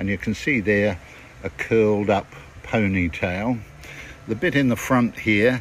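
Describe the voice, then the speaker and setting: A man with a New Zealand accent speaks very slowly in a fairly low pitch. His pitch varies in an ordinary way, against noticeable background noise. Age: 70s. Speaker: actor. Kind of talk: casual show-and-tell video message.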